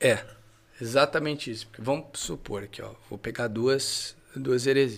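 A man's plain, everyday voice at medium pitch, fairly slow, with ordinary pitch variation and big swings in loudness. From Brazil, interior of São Paulo state. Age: 30s. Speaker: theology teacher. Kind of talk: casual podcast chat.

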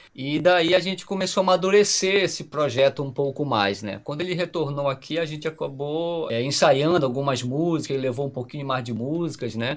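A man with a plain, everyday voice talks fairly quickly at a fairly high pitch, with ordinary pitch variation and hardly any pauses. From Pará, northern Brazil. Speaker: musician, guitarist and singer-songwriter. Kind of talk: casual podcast interview.

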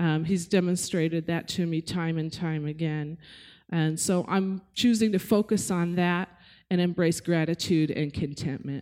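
A woman with a dark, mellow tone and fairly low pitch speaks at a moderate pace with fairly even intonation on a very clean recording with a silent background. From Netherlands, moved to US as child. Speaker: church member. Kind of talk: testimony.

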